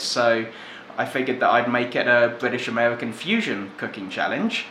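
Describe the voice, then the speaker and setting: A man speaks at a moderate pace. There is noticeable background noise and audible room echo. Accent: English. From England. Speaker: cooking video host. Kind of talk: cooking tutorial.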